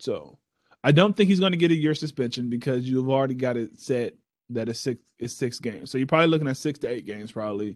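Speaking at a very fast pace, a man with an American accent sounds animated. His intonation is lively. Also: medium pitch for a man. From Texas. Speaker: sports podcast co-host. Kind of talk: casual chat.

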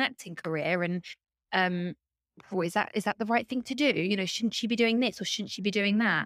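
In a very clean recording with a silent background and a dry, close sound with no echo, a woman with a southern English accent speaks at a medium pitch with ordinary pitch variation. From Luton, England. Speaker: soap opera actress. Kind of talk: casual chat.

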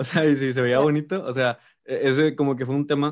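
There's a man speaking with a Mexican accent. The recording is very clean, with a silent background. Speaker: podcast host. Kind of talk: casual interview.

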